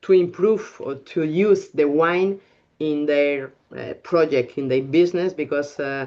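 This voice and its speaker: Someone speaks in a Spanish accent at a very slow pace. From Spain, Bilbao. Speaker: winemaker. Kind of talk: casual chat. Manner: halting.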